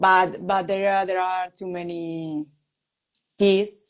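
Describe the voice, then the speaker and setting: A woman speaks with a Spanish accent at a fairly slow pace. Her intonation is monotone and flat. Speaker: music interviewer. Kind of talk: interview. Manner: halting.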